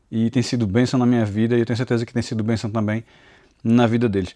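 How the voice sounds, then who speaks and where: In a dry, close recording with no echo, a man talks very fast at medium pitch. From Pernambuco, Brazil (Recife and interior). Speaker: Bible teacher and YouTuber. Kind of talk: personal testimony. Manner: halting, repeats words.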